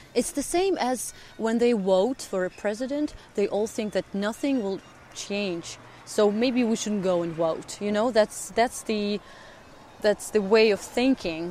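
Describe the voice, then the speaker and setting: The speaker is a woman with a Russian accent. Her pitch is fairly high. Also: ordinary pitch variation, fairly slow pace. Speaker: actress. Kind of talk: interview. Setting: outdoors. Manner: halting.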